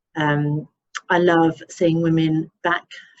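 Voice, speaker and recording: With an English accent, a woman speaks at a fairly low pitch. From England. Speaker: obstetrician. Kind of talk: webinar presentation.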